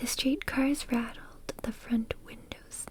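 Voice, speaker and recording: Amid noticeable background noise, a woman whispers in a calm tone. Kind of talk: soft book reading. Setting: home microphone recording. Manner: soft-spoken, calm, slow.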